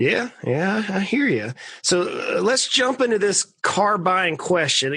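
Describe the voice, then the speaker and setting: With a South Georgia accent, a man speaks very slowly in a raised, projected voice, high-pitched for a man and bright and sharp in tone, his loudness very even and his intonation lively. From US South, South Georgia. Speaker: podcast host, financial planner. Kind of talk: interview.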